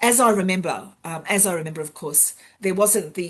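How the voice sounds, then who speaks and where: This voice has a somewhat breathy quality and an Australian accent. The pace is fairly quick, with ordinary pitch variation. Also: woman. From Australia, Sydney's western suburbs. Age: 60s. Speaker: university sustainability education director. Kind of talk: interview. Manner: frequent hesitations and fillers.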